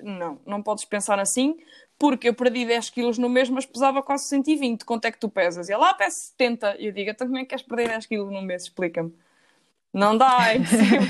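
A woman speaks at a fairly quick pace in a fairly high voice with lively intonation. She has a normal speaking voice. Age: 20s. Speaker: engineering student. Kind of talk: casual interview.

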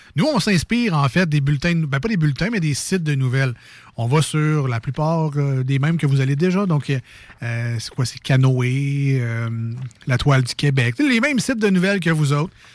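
Lively intonation at a moderate pace, somewhat breathy. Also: man, fairly high pitch for a man. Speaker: radio show co-host. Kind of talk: casual radio banter.

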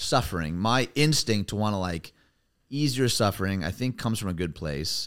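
A man with an American accent has an unremarkable speaking voice and lively intonation. He speaks at a moderate pace on a very clean recording with a silent background. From US Midwest. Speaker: pastor. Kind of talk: casual interview chat.

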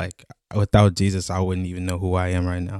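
Soft-spoken and very deep, a man with an American accent talks fairly quickly in a dark, mellow tone and monotone, flat intonation, the recording very clean with a silent background and a dry, close sound with no echo. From Chicago. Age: 20s. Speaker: mission team member. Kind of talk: testimony.

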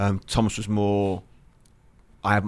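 This man has an English accent and a fairly low pitch. He speaks at a fairly slow pace. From southeast England (Lewes, near Brighton). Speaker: football coach and former national team player. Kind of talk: casual interview.

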